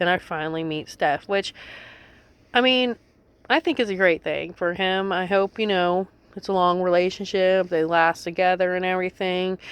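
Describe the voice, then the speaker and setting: Moderate pace and fairly even intonation in an unremarkable speaking voice. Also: woman, medium pitch for a woman. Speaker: reality TV recap commentator. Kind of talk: casual commentary reading article quotes.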